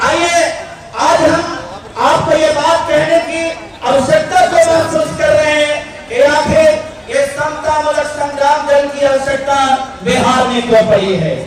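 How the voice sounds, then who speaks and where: A man speaks with an extremely high pitch and fairly even intonation. Crowd noise and audible room echo fill the background. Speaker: political speaker. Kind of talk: political rally speech. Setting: stage with audience, PA system. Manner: oratorical, impassioned.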